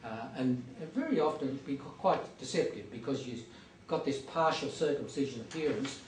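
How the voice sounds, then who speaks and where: The speech is fairly quick with ordinary pitch variation, set against noticeable background noise and audible room echo. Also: man, fairly high pitch for a man. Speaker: hospital doctor. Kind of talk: lecture. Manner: hesitant, many fillers.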